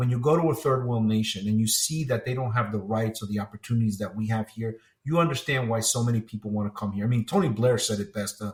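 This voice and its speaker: In a very clean recording with a silent background, a man speaks very fast at medium pitch, somewhat breathy, with ordinary pitch variation. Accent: American. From New Jersey, US. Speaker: retired police officer and 9/11 survivor. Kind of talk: interview testimony.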